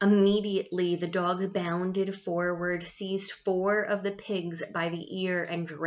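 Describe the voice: Straightforward reading aloud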